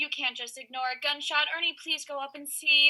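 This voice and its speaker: A woman uses a put-on character voice with a high pitch and monotone, flat intonation. Her loudness swings widely at a fairly quick pace. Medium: audio drama.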